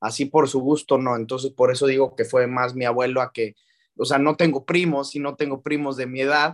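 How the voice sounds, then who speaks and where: With a central Mexican accent, a man speaks at a moderate pace and a fairly high pitch, the sound dry and close with no echo. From Mexico, León, Guanajuato. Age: 20s. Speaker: student and football content creator. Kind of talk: casual chat.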